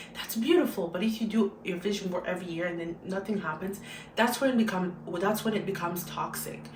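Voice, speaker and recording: An animated woman at a very fast pace and medium pitch, with audible room echo and noticeable background noise. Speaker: YouTuber, motivational vlogger. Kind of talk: motivational monologue.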